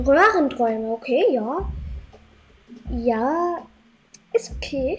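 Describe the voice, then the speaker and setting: At a very slow pace, a woman talks with long, frequent pauses. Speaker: gaming content creator. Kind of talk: gameplay commentary. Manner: animated.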